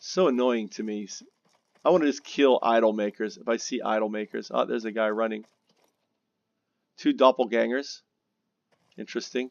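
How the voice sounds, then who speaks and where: Speaking with an American accent at a moderate pace, a man uses ordinary pitch variation and takes long, frequent pauses. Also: medium pitch for a man. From Spain (Mallorca) as small child, mostly abroad; father US naval attaché. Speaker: gaming video creator. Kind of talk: casual chat while gaming. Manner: halting, many false starts.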